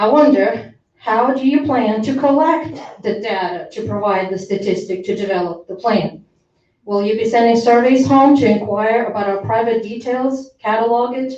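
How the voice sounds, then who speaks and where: At a moderate pace, a woman speaks with a fairly high pitch and ordinary pitch variation, with audible room echo around her. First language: not English. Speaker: parent speaking at public comment. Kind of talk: public comment at school board meeting. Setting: school board meeting. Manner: formal.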